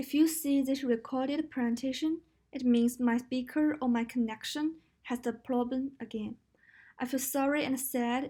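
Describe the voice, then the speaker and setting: At a moderate pace, a woman with a Chinese accent speaks in a high pitch with monotone, flat intonation on a very clean recording with a silent background. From China. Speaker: university student. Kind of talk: recorded class presentation.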